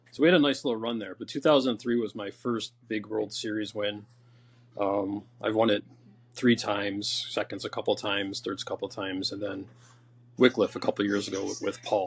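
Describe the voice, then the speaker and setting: A man with an ordinary speaking voice talks at a fairly quick pace, his pitch fairly low with ordinary variation. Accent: American. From upstate New York (Rome, NY). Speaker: bocce player. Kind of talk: interview. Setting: podcast.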